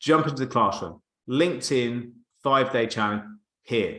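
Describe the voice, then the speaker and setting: Here a man speaks at a fairly quick pace. His pitch moves with ordinary variation. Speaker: marketing coach. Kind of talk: live webinar presentation. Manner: fast; animated.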